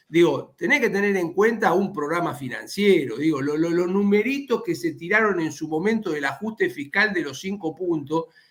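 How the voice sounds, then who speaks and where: A high-pitched man with lively intonation, speaking at a moderate pace with hardly any pauses. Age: 60s. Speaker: economist, former central bank manager. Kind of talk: interview on streaming news show. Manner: halting, many repetitions and fillers.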